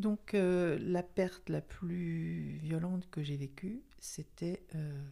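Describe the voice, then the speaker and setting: This woman's tone is dark and mellow. There's ordinary variation in her pitch. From Paris region, France. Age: 60s. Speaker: retiree podcast guest. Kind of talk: personal testimony interview. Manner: halting, many hesitations.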